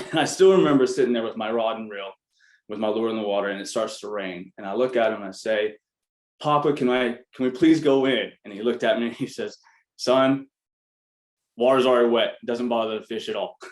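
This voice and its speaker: Using an ordinary speaking voice, a man with an American accent talks at a fairly quick pace in a medium pitch, with ordinary pitch variation and big swings in loudness. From US South, Arkansas. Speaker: business founder, MBA alumnus. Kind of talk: panel talk. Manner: casual, many filler words.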